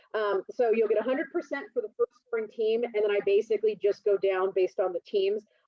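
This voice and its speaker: A woman at medium pitch and a fairly quick pace, with ordinary pitch variation. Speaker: college instructor. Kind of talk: lecture. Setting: video call. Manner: fast.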